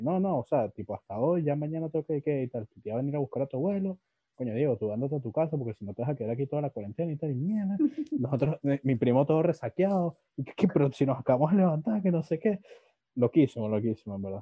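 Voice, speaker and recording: A man with a Venezuelan accent at a very fast pace, with a fairly high pitch and lively intonation. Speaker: podcast host. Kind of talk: casual chat.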